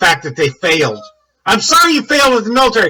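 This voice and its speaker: Shouting in a raised, projected voice, a man with an American accent races along at a very fast pace with lively intonation. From United States. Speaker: military veteran video commentator. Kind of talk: angry rant video. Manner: loud, yelling.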